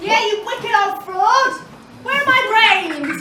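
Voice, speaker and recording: A squeaky, put-on character voice with extremely high pitch at a fairly slow pace, over clear background noise with a slight echo. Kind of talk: pantomime comic acting. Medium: stage play. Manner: blunt, indignant.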